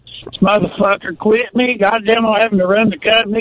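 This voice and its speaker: Noticeable background noise sits behind the voice. A man with a Southern US accent talks at a moderate pace. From US South. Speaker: caller. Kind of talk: casual chat.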